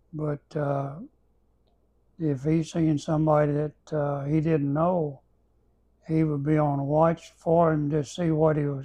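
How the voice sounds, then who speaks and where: In an Arkansas accent, a man with a fairly high pitch and a dark, mellow tone speaks very slowly and in a monotone, flat way, with long, frequent pauses. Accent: Southern US (Arkansas) rural. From Arkansas, US South. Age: 80s+. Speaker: elderly storyteller. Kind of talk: casual reminiscing interview. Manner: halting, with many repetitions and fillers.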